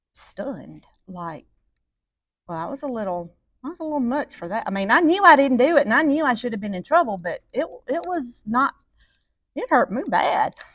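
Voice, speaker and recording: The speaker has a Southern US accent and a moderate pace. Pitch swings very widely, with long, frequent pauses. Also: woman, high pitch for a woman. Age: 60s. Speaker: parenting teacher. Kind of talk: lecture.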